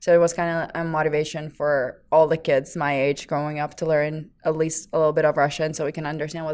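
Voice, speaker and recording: Over a silent background in a very clean recording, a woman with a Lithuanian accent speaks fairly quickly in a very deep, low voice with fairly even intonation. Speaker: fitness trainer. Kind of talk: casual chat.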